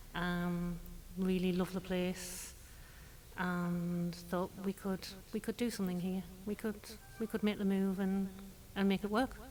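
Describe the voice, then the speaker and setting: A woman with an English accent speaks at a medium pitch, her intonation monotone and flat. Her pace is fairly slow, with long, frequent pauses. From northeast England. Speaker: furniture store owner. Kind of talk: interview.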